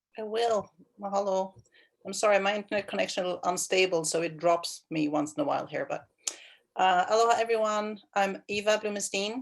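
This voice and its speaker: A woman with a Swedish accent speaks at a fairly quick pace, her medium pitch showing ordinary variation. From Sweden, Stockholm. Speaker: county water planning manager. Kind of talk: self-introduction. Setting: video call.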